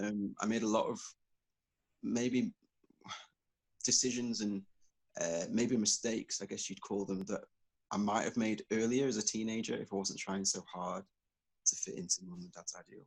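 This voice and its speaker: The speaker keeps a moderate pace with fairly even intonation. Long, frequent pauses break up the speech. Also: man, fairly low pitch for a man. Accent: northern English. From northern England, Southport near Liverpool. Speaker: spoken word and soul artist, activist. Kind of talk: interview, personal story. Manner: hesitant, many fillers.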